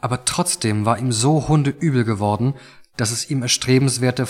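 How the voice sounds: The clip is a natural reading voice with ordinary pitch variation.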